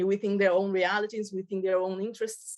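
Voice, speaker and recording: A woman with a Portuguese accent and monotone, flat intonation. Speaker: childhood network representative. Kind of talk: presentation. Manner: halting.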